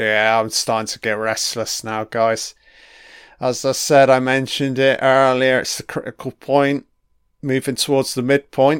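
A man speaks in a medium pitch with a flat, monotone intonation at a fairly slow pace. The sound is dry and close with no echo, and the recording is very clean with a silent background. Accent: British. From UK. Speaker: commentator. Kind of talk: angry rant, sweary commentary over a TV episode, sarcastic mocking tirade. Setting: home recording, audio-only commentary while watching.

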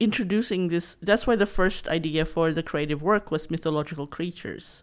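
A woman speaks in a fairly low pitch. She has a Filipino accent. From Philippines, Visayas region. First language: Bisaya (Cebuano). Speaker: author and former journalist. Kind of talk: interview.

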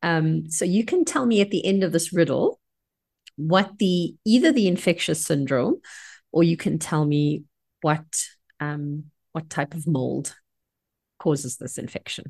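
The speaker is somewhat breathy, with ordinary pitch variation and long, frequent pauses at a fairly slow pace. The background is quiet. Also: woman, fairly low pitch for a woman. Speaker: clinical microbiologist and podcast host. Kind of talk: educational podcast chat.

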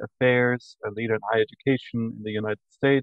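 A man speaks with an Austrian accent at a medium pitch. His pace is fairly quick. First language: German. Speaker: university administrator and professor. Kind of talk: interview. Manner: enthusiastic.

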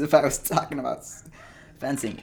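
A man's fairly high-pitched voice with vocal fry at a moderate pace. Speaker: podcaster and hobby sword fencer. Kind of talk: casual solo podcast monologue. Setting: outdoors. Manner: casual, rambling, halting with filler words.

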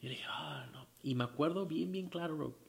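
A man talks in a somewhat breathy voice. His pitch varies in an ordinary way. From Tijuana, Baja California, Mexico. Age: 30s. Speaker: rock band singer. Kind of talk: casual interview.

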